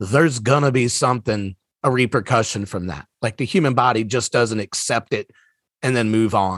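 An ordinary speaking voice from a man, at medium pitch and moderate pace with ordinary pitch variation. The sound is dry and close, with no echo. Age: 40s. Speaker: stand-up comedian. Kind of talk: casual chat.

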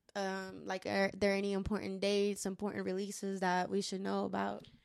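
A woman speaks at a moderate pace with a medium pitch and a plain, everyday voice. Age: late 20s. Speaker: podcast host and musician, military veteran. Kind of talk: casual chat.

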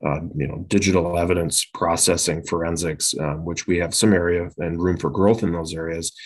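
Against a quiet background, a man with an Upper Midwest accent speaks in a very deep, low pitch with monotone, flat intonation. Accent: Upper Midwest (Minnesota). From southeastern Minnesota (Winona). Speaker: police chief. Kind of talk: podcast interview.

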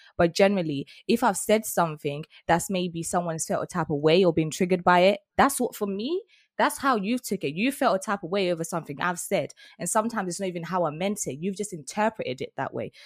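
A woman's medium-pitched voice at a very fast pace with lively intonation, in a very clean recording with a silent background and a dry, close sound with no echo. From England. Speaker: podcast host. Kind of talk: casual chat.

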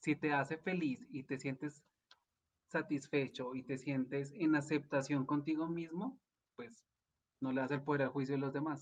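Fairly high-pitched and fairly slow, a man speaks with fairly even intonation in a plain, everyday voice. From Colombia. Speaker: life coach and energy therapist. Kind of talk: casual interview chat.

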